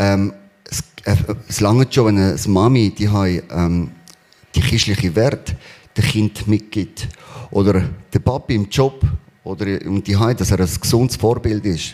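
The speaker goes at a fairly slow pace with long, frequent pauses and ordinary pitch variation. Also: man, fairly low pitch for a man. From Spain. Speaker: church member sharing testimony. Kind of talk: testimony. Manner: halting.

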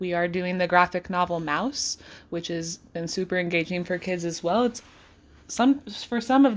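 On a very clean recording with a silent background, a woman with a plain, everyday voice speaks at a moderate pace, fairly low in pitch, with ordinary pitch variation. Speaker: high school English teacher and podcast co-host. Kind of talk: casual chat.

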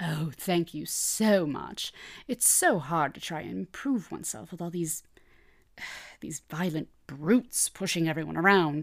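A woman's put-on, whiny character voice, fairly low in pitch, with lively intonation, a moderate pace and long, frequent pauses. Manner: whiny, dramatic.

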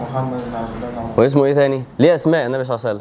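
There is noticeable background noise as a man speaks with an Egyptian accent. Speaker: Islamic preacher. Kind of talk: religious lecture. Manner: animated.

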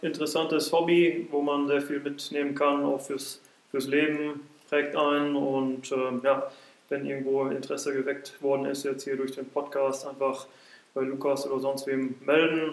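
Audible room echo is present. A man speaks at a fairly high pitch in monotone, flat intonation. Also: moderate pace. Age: 30s. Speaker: football referee. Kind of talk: casual chat. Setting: in a pavilion at the club grounds.

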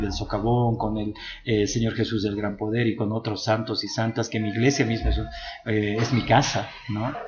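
A man's somewhat breathy voice in audible room echo, moderate in pace, with fairly even intonation. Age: 40s. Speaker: LGBT rights activist. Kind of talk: interview. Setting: La Paz.

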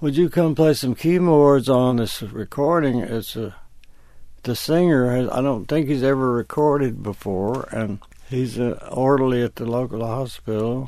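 Over a silent background in a very clean recording, a man with an Alabama accent speaks in a dark, mellow tone at medium pitch, with ordinary pitch variation and a moderate pace. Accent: Southern US (Alabama). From northern Alabama. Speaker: session keyboardist and songwriter. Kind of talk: interview, storytelling.

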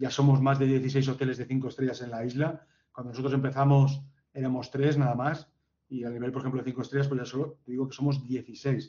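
The man's intonation stays monotone and flat while he talks at a fairly quick pace. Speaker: hotel general manager. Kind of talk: interview.

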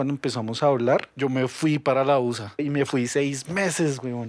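A man's voice at a moderate pace with fairly even intonation, over noticeable background noise. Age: 30s. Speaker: podcast guest. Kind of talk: casual chat.

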